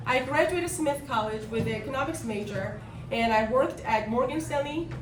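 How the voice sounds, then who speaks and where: A woman with a high pitch and a slight Korean accent, fairly quick, with audible room echo and noticeable background noise. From South Korea. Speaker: business executive and political speaker. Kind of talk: speech to a political meetup.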